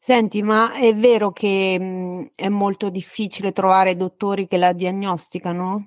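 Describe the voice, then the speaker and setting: The voice is monotone and flat at a fairly slow pace, with hardly any pauses. The recording is very clean, with a silent background and a dry, close sound with no echo. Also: woman, medium pitch for a woman. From Ostia, Rome area, then Marche. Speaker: podcast host. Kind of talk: interview.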